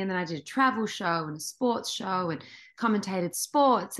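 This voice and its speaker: Against a quiet background, a woman with an Australian accent speaks at a medium pitch and moderate pace, her intonation lively. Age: 40s. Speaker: actress. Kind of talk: interview.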